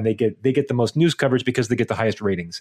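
Fairly even intonation marks a man's unremarkable speaking voice at a medium pitch. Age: 30s. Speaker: podcast co-host. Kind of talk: casual chat. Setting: remote recording.

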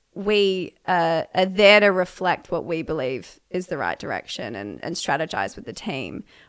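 With an Australian accent, a woman speaks at a moderate pace in a fairly low pitch with vocal fry, lively intonation, big swings in loudness and hardly any pauses, on a very clean recording with a silent background. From Australia, Melbourne. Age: 20s. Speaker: model and entrepreneur. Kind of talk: interview conversation.

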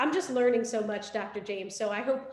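Audible room echo surrounds a woman speaking in an energetic tone at a moderate pace, with ordinary pitch variation. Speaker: podcast co-host. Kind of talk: interview.

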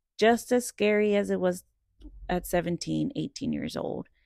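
In a dry, close sound with no echo, a woman with an American accent speaks at a fairly slow pace on a very clean recording with a silent background. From Texas, Dallas. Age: 20s. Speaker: podcast host. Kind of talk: casual monologue.

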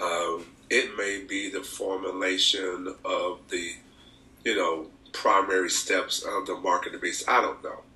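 Over noticeable background noise, a man with an Alabama accent talks at a fairly slow pace. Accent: Southern US (Alabama). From US South, Alabama. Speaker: pastor. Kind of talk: casual chat.

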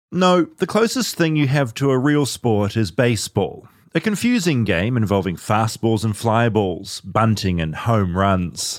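Speaking in a New Zealand accent with hardly any pauses, a man at medium pitch moves at a fairly slow pace with very wide pitch swings and very even loudness, in a very clean recording with a silent background. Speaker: podcast host. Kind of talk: casual chat; scripted narration.

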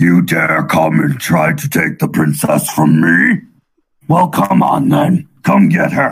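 The voice has a raspy edge. It is a put-on character voice. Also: man, medium pitch for a man, fairly slow pace. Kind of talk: comic villain voice for children. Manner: taunting, menacing.

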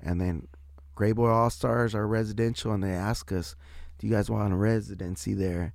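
A man with an American accent talks in a plain, everyday voice at a moderate pace. His pitch is fairly low and his intonation lively. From San Diego, California. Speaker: musician and bandleader. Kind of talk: casual interview chat.

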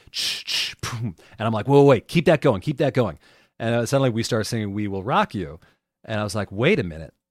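A man with an American accent has an unremarkable speaking voice at a medium pitch. He moves at a fairly quick pace with lively intonation, in a dry, close sound with no echo. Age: 30s. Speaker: circus and renaissance faire whip performer. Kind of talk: casual interview.

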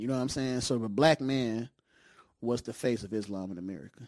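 A man at a medium pitch with ordinary pitch variation and a fairly quick pace, on a very clean recording with a silent background. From Detroit, East Side. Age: 40s. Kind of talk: casual chat. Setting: studio.

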